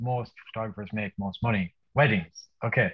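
A man with an Irish accent. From Ireland. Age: 30s. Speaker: wedding photographer. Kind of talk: casual chat. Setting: video call. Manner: animated.

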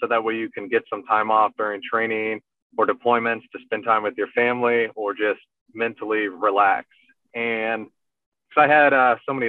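This is a man with an ordinary speaking voice. He talks at medium pitch and a moderate pace. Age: 30s. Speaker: army officer and ultrarunner. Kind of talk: casual interview.

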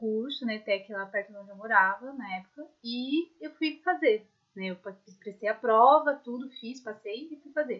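A woman with a normal speaking voice talks fairly slowly at a fairly high pitch, with lively intonation and big swings in loudness. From São Paulo, Brazil. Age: 20s. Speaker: podcast co-host, recent graduate. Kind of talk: casual chat.

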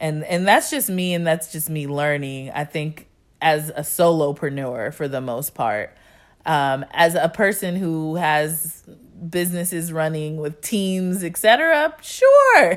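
A woman speaks with an American accent at a fairly low pitch. Her pace is fairly slow, with ordinary pitch variation. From San Diego, California. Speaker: podcast host. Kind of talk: casual solo monologue. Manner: unscripted, conversational with fillers.

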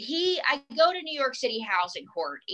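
Her pitch swings very widely as the woman talks. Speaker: ventriloquist and comedian. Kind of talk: casual chat. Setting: video or phone call. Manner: animated, joking.

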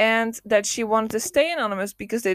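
A woman speaks in an animated tone with a Dutch accent. The recording is very clean and silent in the background, with a dry, close sound and no echo. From Netherlands, not Amsterdam. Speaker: solo podcast host. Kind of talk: casual monologue. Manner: animated, laughing often.

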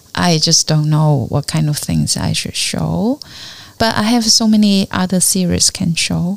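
A woman with a Chinese accent amid noticeable background noise. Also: fairly slow pace. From China, Fujian (Fuding). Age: 50s. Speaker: artist and art educator. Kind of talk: interview conversation. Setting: artist's studio.

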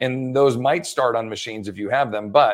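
Over a silent background in a very clean recording, a man with an unremarkable speaking voice talks at a fairly quick pace, medium in pitch and fairly even in intonation. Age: 40s. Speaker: personal trainer and fitness educator. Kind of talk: interview.

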